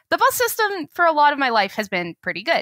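A woman with an American accent, bright and sharp in tone, fairly quick, with lively intonation and a dry sound with no echo over a quiet background. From Boulder, Colorado; Colorado. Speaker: transportation researcher; podcast guest. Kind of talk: interview. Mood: relaxed, thoughtful. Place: home room. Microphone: headset.

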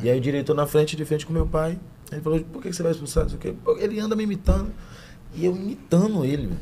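A man talks at a very fast pace, his pitch variation ordinary, with light background noise behind him. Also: fairly high pitch for a man. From Salvador, Bahia, Brazil. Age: 20s. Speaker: actor and stand-up comedian. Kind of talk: podcast interview answer. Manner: casual, slangy. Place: studio. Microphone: studio mic.

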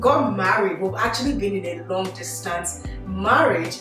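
A woman speaks at a fairly slow pace with music in the background and audible room echo. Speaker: host. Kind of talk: casual group vlog chat. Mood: cheerful, laughing. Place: home room.

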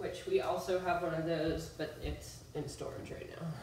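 A woman with a low voice speaks at a moderate pace with fairly even intonation. Audible room echo surrounds the recording.

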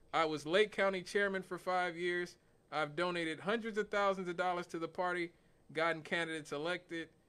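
Here a man talks at a fairly quick pace. His pitch is high. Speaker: radio talk show host. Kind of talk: talk radio commentary. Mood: amused, lightly joking. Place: studio. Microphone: studio mic.

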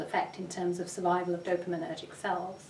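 With light background noise and an audible echo from the room, a woman is talking. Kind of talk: interview answer. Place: office.

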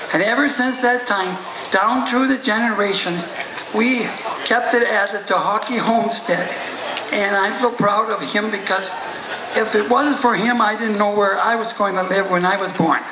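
Amid noticeable background noise, a man speaks in a raised, projected voice at a moderate pace with fairly even intonation. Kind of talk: acceptance speech telling family history. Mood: proud, heartfelt. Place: tent. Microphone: podium.

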